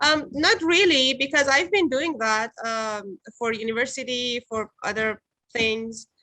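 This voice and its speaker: A woman's high, bright, sharp voice, fairly slow with lively intonation, in a dry, close sound with no echo. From Iran. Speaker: stage actress. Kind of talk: interview. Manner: halting.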